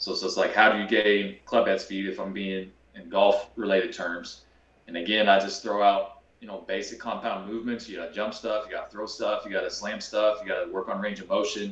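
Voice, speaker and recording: Noticeable background noise under a man with an American accent, a fairly quick pace and big swings in loudness. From Kansas, US Midwest. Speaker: golf fitness trainer. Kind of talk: casual interview chat.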